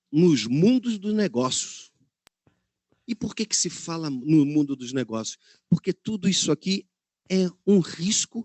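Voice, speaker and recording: Lively in intonation and high in pitch, a man talks at a very slow pace with long, frequent pauses. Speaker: ESG management specialist, speaker. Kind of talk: webinar talk.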